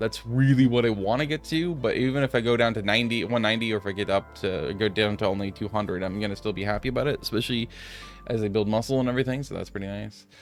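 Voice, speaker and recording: Over music in the background, the speech moves at a very fast pace. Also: man, medium pitch for a man, ordinary pitch variation. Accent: American. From US Pacific Northwest (Aloha, Oregon). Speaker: gaming YouTuber. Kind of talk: gameplay commentary. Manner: casual, rambling with hesitations.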